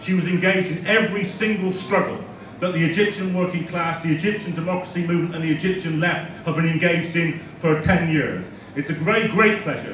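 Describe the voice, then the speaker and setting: A man's high-pitched voice at a fairly quick pace with fairly even intonation, audible room echo and light background noise. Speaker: speaker. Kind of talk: speech to an audience. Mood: warm, welcoming. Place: hall.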